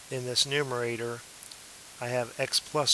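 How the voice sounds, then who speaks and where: Noticeable background noise sits behind a man with a medium pitch. He talks at a fairly slow pace in a flat, monotone intonation. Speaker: math teacher. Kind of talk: tutorial. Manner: hesitant, many fillers.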